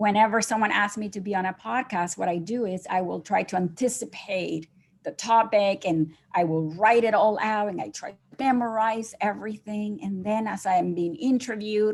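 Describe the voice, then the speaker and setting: A woman's medium-pitched voice with a Spanish accent, at a moderate pace with ordinary pitch variation, in a very clean recording with a silent background. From Nicaragua. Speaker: gratitude coach, entrepreneur. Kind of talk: podcast interview. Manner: unscripted.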